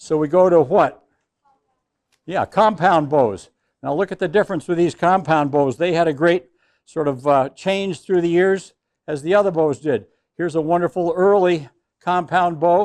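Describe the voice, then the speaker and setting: A man at a high pitch and moderate pace, ordinary pitch variation, long and frequent pauses, dry, close sound with no echo, quiet background. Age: 80s+. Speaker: hunter education instructor. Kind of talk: class instruction to young students.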